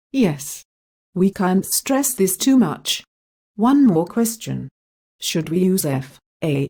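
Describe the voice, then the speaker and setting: A woman with a British accent speaks at a medium pitch in a dark, mellow, somewhat breathy tone, her voice making very wide pitch swings. The sound is dry and close, with no echo. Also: long, frequent pauses. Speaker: interviewer. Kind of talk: scripted educational interview questions.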